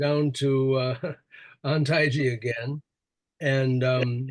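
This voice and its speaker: A very slow man's voice in a monotone, flat intonation. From Wisconsin, USA. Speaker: Zen priest and teacher. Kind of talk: interview answer.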